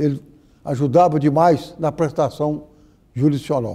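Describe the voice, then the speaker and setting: This man's dark, mellow tone moves at a moderate pace with ordinary pitch variation. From Minas Gerais, Brazil. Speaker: judge, former court president. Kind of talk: oral history interview answer.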